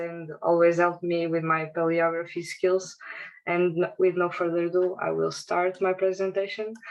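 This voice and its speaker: A woman with a Portuguese accent speaks at a moderate pace and a fairly low pitch, in a monotone with flat intonation. Noticeable background noise is present. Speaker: academic researcher. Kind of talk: conference presentation.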